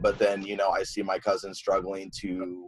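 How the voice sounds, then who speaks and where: Speaking at a moderate pace, a man talks with a Midwestern US accent. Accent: US Midwest. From Iowa, Sioux City. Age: 20s. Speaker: community member sharing experiences. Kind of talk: panel testimony.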